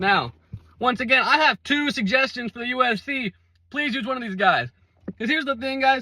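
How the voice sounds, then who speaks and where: A man's extremely high, bright and sharp voice, animated and raised to project, at a fairly quick pace with ordinary pitch variation, big swings in loudness, and a dry, close sound with no echo. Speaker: MMA commentator. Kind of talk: casual commentary video.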